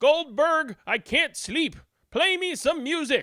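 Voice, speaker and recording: A high-pitched, put-on character voice comes through on a very clean recording with a silent background. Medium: read story. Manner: bossy, impatient.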